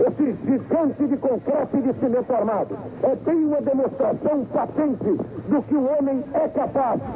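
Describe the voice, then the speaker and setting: With music in the background, a man with an extremely high voice talks at a fairly slow pace. His intonation is fairly even and his loudness very even. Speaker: sports announcer. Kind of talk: emotional sports commentary at stadium inauguration. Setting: archival 1973 stadium broadcast.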